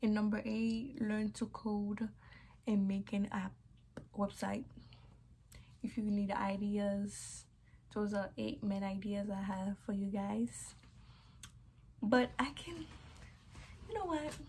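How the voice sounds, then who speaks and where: A woman speaks very slowly, leaving long, frequent pauses. Her tone is dark, mellow and somewhat breathy, with ordinary pitch variation. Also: medium pitch for a woman. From Haiti. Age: 20s. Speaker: YouTuber. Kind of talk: vlog storytime. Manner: casual, chatty.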